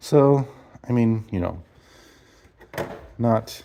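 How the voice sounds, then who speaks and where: A man speaks with a dark, mellow tone at a medium pitch. The recording is very clean, with a silent background. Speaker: DIY car repair video maker. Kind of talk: tutorial. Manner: fast; halting.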